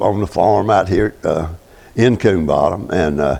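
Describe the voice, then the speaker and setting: This is a man talking. He has a Southern US accent. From US South, north Florida (Gadsden County). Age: 80s+. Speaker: retired farmer. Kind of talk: oral history interview. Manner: halting.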